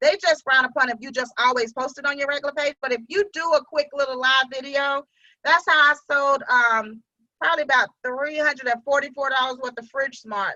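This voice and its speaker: A woman uses a raised, projected voice with a high pitch and a bright, sharp tone. She talks at a fairly quick pace with fairly even intonation, the sound dry and close with no echo. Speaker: sales team leader. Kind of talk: team training meeting.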